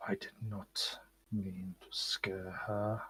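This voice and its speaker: A man puts on a character voice. It sits at a fairly low pitch. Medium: actual play.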